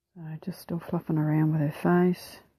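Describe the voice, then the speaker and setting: A woman's somewhat breathy, fairly low voice in a New Zealand accent, dark and mellow in tone, with monotone, flat intonation. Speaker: mixed media artist. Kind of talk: art process tutorial voiceover. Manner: casual, hesitant.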